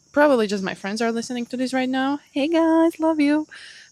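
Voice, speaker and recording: In a non-native accent, a woman talks at a fairly quick pace with lively intonation on a very clean recording with a silent background. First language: not English. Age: 30s. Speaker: podcast host. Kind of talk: solo podcast monologue. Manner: casual, animated.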